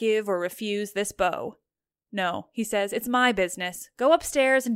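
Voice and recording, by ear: The passage is read aloud in a natural voice, its pitch showing ordinary variation. Behind it the background is quiet.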